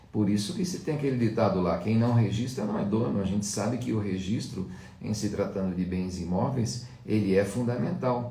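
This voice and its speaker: Audible room echo surrounds the voice. The pace is moderate, with ordinary pitch variation. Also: man, fairly low pitch for a man. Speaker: law lecturer. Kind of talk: lecture. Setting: live stream.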